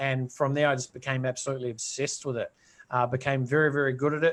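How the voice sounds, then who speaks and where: Very fast in pace, a man with a New Zealand accent speaks at a fairly high pitch. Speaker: entrepreneur. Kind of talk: interview. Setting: live video stream.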